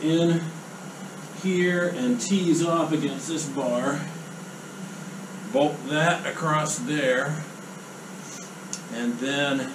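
Speech comes at a very slow pace with ordinary pitch variation. Noticeable background noise runs underneath. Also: man. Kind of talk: tutorial. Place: workshop.

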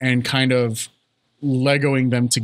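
The voice reads in a natural way. Little else can be heard behind it.

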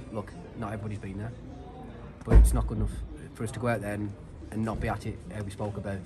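There's noticeable background noise. Through it, a man talks. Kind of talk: interview answer. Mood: disappointed, firm. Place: stadium. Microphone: handheld.

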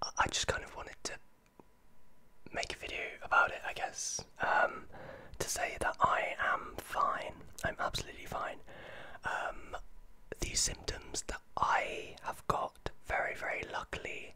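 Whispering with long, frequent pauses. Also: man. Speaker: vlogger. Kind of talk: casual vlog chat. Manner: soft-spoken, quiet close-mic voice, congested. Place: home room. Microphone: studio mic.

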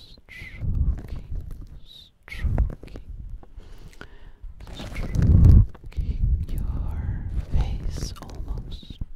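A woman is whispering. Her pace is very slow. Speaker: ASMR creator. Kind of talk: soft ASMR whisper chat.

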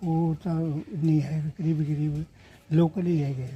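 Flat and monotone in intonation, the voice carries a dark, mellow tone. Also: man. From Punjab, India. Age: 80s+. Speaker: partition eyewitness. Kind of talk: interview. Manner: halting.

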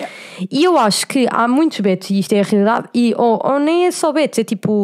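Her pitch is high for a woman. She talks at a fairly quick pace. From Cascais, Portugal. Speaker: podcast host. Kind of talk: casual chat.

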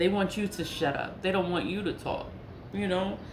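A woman speaks in an American accent at a fairly low pitch and a moderate pace, with fairly even intonation. Audible room echo and light background noise fill the recording. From New York. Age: 40s. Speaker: spiritual content creator. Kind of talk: casual monologue. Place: home room. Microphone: phone near.

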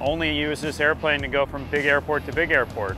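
Faint music plays in the background of this dry sound with no echo. A man talks at a fairly quick pace. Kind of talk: casual vlog chat. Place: street.

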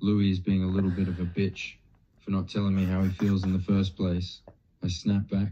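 An unforced reading voice is heard. Nothing else accompanies it.

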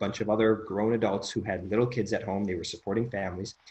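Fairly low in pitch, a man's voice comes across somewhat breathy. His intonation stays fairly even. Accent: American. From US Midwest, Chicago suburbs. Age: 30s. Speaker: podcast host, mind coach. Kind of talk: casual chat. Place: home room. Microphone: video call.

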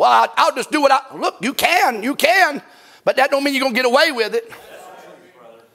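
With an extremely high, bright and sharp voice, a man speaks in a raised, projected way and an animated tone at a fairly quick pace, his loudness swinging widely and his pitch varying in an ordinary way between long, frequent pauses. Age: 50s. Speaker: pastor. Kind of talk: sermon. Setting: church. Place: church. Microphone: lapel.

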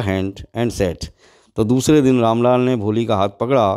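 Dark, mellow tone marks this man's medium-pitched voice, with ordinary pitch variation. The recording is very clean, with a silent background. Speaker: teacher. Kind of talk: lecture. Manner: reads English text and explains line by line in Hindi.

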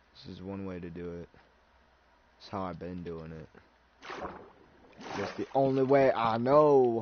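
Over noticeable background noise, a man with a fairly low pitch talks at a fairly slow pace with lively intonation, big swings in loudness, and long, frequent pauses. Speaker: gaming streamer. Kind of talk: casual chat. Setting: live stream. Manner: animated.

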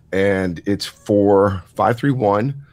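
Recorded very cleanly against a silent background, a man with a plain, everyday voice speaks at a fairly low pitch with ordinary pitch variation. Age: 30s. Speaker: podcast guest, lifter. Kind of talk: casual chat.

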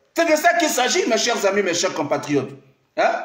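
A man speaks in an animated tone at a fairly slow pace. Room echo is audible, and the background is quiet. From Congo-Brazzaville. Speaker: pastor and diaspora live streamer; pastor, diaspora live streamer. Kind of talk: improvised political live stream monologue. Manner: animated, repetitive exhortations. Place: office. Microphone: phone near.

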